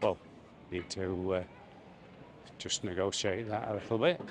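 A man's fairly low voice at a fairly slow pace, with ordinary pitch variation, a dry sound with no echo, and noticeable background noise. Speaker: travel vlogger. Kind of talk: casual vlog commentary. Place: street. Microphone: phone near.

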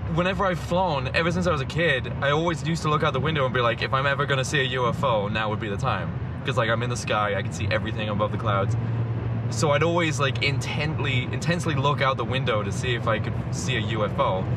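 Over loud background noise, a man talks very fast with ordinary pitch variation in a dry sound without echo. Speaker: vlogger passenger. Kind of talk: casual vlog chat, storytelling. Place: car. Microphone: camera far.

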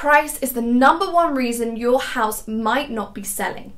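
A woman speaks at a high pitch. Her pace is very slow against a quiet background. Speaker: property buying company host. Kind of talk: informational talk to camera. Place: home room.

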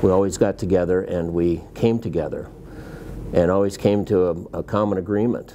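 A man with an American accent at a moderate pace over light background noise. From Iowa, USA. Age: 60s. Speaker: farmer and livestock producer. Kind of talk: interview answer. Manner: hesitant, with fillers. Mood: calm, mildly frustrated. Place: home room.

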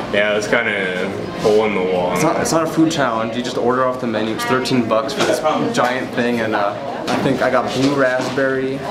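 Over loud background noise, a man talks at a moderate pace with hardly any pauses and ordinary pitch variation. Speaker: food challenge vlogger. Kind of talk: casual vlog chat. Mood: excited, laughing. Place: shop. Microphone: phone near.

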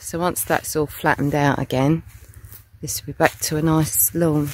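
With a British accent, the speaker talks at a moderate pace. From UK. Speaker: vlogger. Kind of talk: casual vlog narration. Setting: outdoors. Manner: loud.

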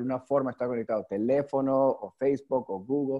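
A man speaks over a quiet background. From New York, US. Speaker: youth leadership network founder; guest. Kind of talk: online webinar talk. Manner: halting, many repetitions and fillers. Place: home room. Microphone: video call.

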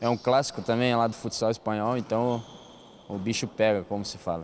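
At a fairly quick pace, a man talks with fairly even intonation over light background noise. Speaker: futsal player. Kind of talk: interview. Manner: halting. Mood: relaxed, smiling. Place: hall. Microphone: handheld.

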